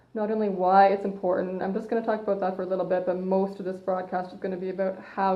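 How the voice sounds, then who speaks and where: At a very fast pace, a woman speaks with a medium pitch. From Canada. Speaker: personal trainer. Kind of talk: live stream talk. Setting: Facebook live broadcast. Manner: loud. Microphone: phone mic, hard to hear.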